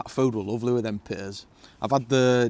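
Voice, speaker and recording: A man with a strong northern English accent at a moderate pace. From northern England. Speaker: camping vlogger. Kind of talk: casual vlog monologue. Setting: outdoors in a hot tent. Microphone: new microphones.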